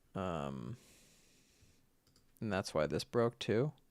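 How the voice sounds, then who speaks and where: In an American accent, the speaker uses an animated tone at a fairly slow pace. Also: man, dry, close sound with no echo. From US Northeast, Boston. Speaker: filmmaker and photographer. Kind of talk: live-stream editing tutorial. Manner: casual, animated.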